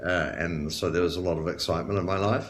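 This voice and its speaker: A man with a New Zealand accent speaks at a very deep, low pitch with vocal fry. His intonation is lively, and there is audible room echo. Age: 40s. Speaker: chronic illness patient sharing story. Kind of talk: interview testimony. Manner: halting, many fillers.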